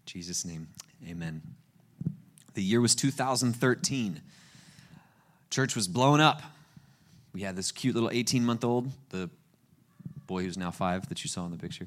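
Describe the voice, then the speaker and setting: A man's medium-pitched voice with an American accent, lively intonation, a moderate pace, long, frequent pauses and big swings in loudness. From US South, Florida Panhandle (Panama City Beach). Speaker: guest pastor. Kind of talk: sermon. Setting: church with congregation. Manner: animated.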